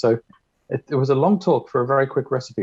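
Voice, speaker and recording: A man speaks very fast with an Australian accent. His medium-pitched voice has lively intonation. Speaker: conference speaker. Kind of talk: short presentation.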